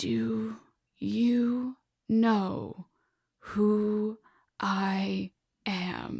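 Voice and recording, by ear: A woman's put-on character voice at medium pitch, dry and close with no echo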